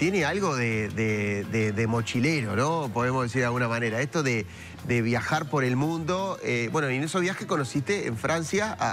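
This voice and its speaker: With a Rioplatense accent, the speaker uses lively intonation and very even loudness at a moderate pace, amid noticeable background noise and audible room echo. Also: man, medium pitch for a man. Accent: Rioplatense Spanish (voseo). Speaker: TV host. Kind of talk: TV interview.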